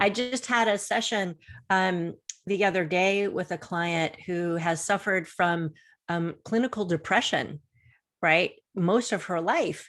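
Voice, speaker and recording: A woman talks in an unremarkable speaking voice at medium pitch, with ordinary pitch variation and a fairly slow pace. The recording is very clean, with a silent background. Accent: American. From Florida. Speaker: confidence coach. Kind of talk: interview on a video show.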